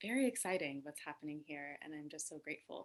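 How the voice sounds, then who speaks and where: A woman's very deep, low voice at a moderate pace. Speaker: Buddhist activist and speaker. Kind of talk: talk. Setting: video webinar from home. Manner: raising voice to be heard. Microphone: too quiet.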